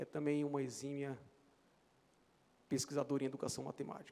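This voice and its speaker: This is a man's voice. His pitch sits fairly high. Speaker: mathematics professor. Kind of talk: acceptance speech. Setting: legislative chamber ceremony. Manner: halting.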